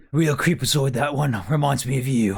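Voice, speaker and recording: A put-on character voice carries a raspy edge. The pace is moderate. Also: man, medium pitch for a man. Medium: actual play. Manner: haggling, streetwise, calls people love.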